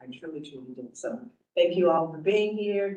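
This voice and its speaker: A woman is speaking. There is audible room echo. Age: 60s. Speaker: cannabis oversight committee member. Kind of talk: committee member self-introduction.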